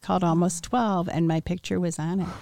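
Speaking with an American accent at a moderate pace, a woman has a dark, mellow tone, captured in a very clean recording with a silent background and a dry, close sound with no echo. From US Midwest, Wheaton, Illinois. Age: 60s. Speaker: interviewee sharing life story. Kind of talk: testimony.

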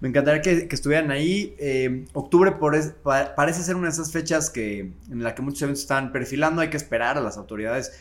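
Very fast delivery with hardly any pauses and ordinary pitch variation. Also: man, fairly high pitch for a man. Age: 30s. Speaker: festival organizer and bar owner. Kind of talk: casual chat.

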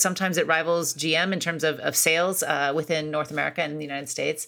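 A woman rushes along at a very fast pace, her fairly low voice showing vocal fry. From US Midwest (Akron, Ohio). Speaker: author and foreign policy scholar. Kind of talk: interview.

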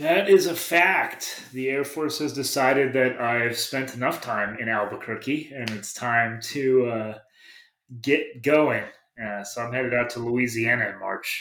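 A man talks at a fairly slow pace in a normal speaking voice. His medium pitch shows ordinary variation. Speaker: knifemaker. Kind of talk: casual chat.

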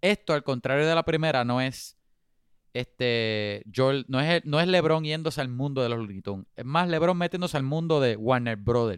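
An ordinary speaking voice, this man's pitch is fairly high, his intonation lively and his pace moderate. The sound is dry and close with no echo, on a very clean recording with a silent background. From Puerto Rico. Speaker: podcast co-host. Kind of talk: casual chat.

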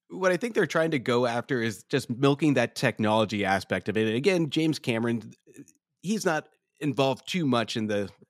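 A man's normal speaking voice at a fairly quick pace. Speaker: podcast host guest. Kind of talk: casual chat.

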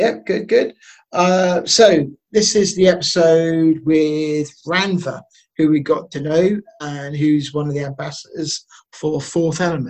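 At a fairly high pitch and a fairly slow pace, a man talks in a normal speaking voice. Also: ordinary pitch variation. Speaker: podcast host. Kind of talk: casual podcast chat.

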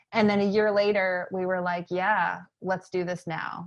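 An unremarkable speaking voice from a woman with an American accent, medium in pitch, fairly slow, with fairly even intonation, against a quiet background. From Maine, US. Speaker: educator and entrepreneur. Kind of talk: interview conversation.

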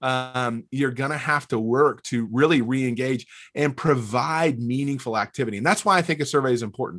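A man with a Southern US accent talks at a moderate pace and a medium pitch, with ordinary pitch variation. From US South, North Alabama. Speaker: church leadership consultant. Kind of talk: interview.

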